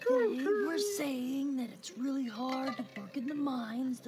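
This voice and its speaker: A woman uses a put-on character voice with a high pitch. She talks at a fairly slow pace over loud background noise. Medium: actual play.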